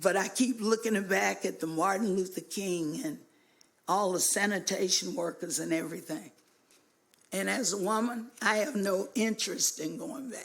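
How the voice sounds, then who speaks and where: With an American accent, a woman speaks at a moderate pace and medium pitch, using ordinary pitch variation and vocal fry. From US South, Hot Springs, Arkansas. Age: 60s. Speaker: public commenter at city council. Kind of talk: public comment speech. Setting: city council meeting.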